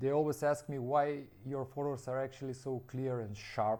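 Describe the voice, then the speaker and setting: A man with a non-native accent talks at a moderate pace. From North Macedonia. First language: Macedonian. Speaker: landscape photographer, brand ambassador. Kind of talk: product presentation. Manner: halting, with frequent fillers.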